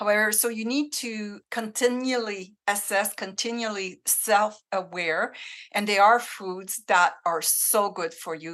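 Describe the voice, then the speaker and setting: This woman has a French Canadian accent and a bright, sharp tone at medium pitch. Her pitch varies in an ordinary way, and the background is quiet. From Northern Ontario, francophone village. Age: 60s. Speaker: menopause coach. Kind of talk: interview conversation.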